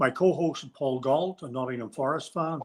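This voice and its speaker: Here a man with a Northern Irish accent speaks fairly quickly in a fairly high pitch. The recording is very clean, with a silent background. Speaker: podcast host. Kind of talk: casual chat.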